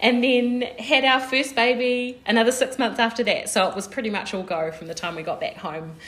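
A woman with a New Zealand accent talks at a fairly quick pace with hardly any pauses, her high pitch showing lively intonation. Her loudness swings widely, and there is noticeable background noise. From New Zealand, Porirua near Wellington. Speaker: podcast co-host. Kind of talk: casual chat.

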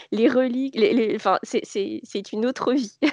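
Against a quiet background, a woman speaks very slowly with a fairly high pitch and lively intonation. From Paris region, France. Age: 30s. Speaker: knitwear designer and charity founder. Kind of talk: casual interview.

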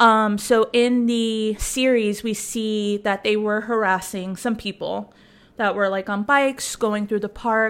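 A woman's fairly high voice at a fairly slow pace, monotone and flat in intonation. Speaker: podcast co-host. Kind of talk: casual chat.

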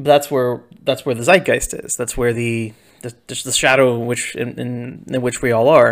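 A man at a medium pitch keeps his intonation fairly even while his loudness swings widely. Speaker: writing podcast host, ghostwriter. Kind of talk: solo journal monologue. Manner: fast.

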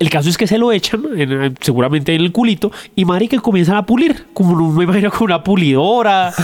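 A man's high-pitched voice at a very fast pace, lively in intonation and very even in loudness, with hardly any pauses and noticeable background noise. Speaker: podcast co-host. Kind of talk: casual chat. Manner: joking banter with laughter.

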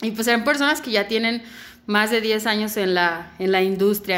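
A woman with a Guadalajara accent, medium pitch, a moderate pace and ordinary pitch variation. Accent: Mexican Spanish (Guadalajara). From Mexico, Guadalajara. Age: 20s. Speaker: fashion designer. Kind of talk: interview.

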